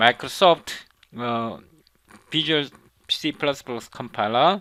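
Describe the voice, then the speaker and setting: Intonation rises and falls lively as a man speaks in a Korean accent. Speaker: programming instructor. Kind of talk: tutorial. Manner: halting, with frequent fillers and repetitions.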